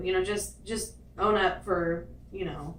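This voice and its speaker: A woman's medium-pitched voice with fairly even intonation, audible room echo, and noticeable background noise. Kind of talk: casual chat.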